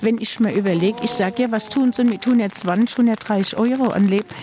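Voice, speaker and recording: A woman speaks at a fairly high pitch. Noticeable background noise runs underneath. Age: old. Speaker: food bank client, pensioner. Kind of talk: interview.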